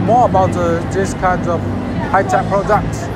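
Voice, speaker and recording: With music in the background, a man's voice sounds dry, with no echo. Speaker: vlogger. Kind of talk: casual vlog chat. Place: hall.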